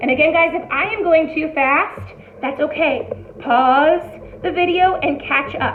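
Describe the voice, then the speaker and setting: Amid noticeable background noise and audible room echo, a woman with an extremely high pitch speaks in an animated tone at a fairly slow pace. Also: ordinary pitch variation. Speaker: elementary art teacher. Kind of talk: tutorial.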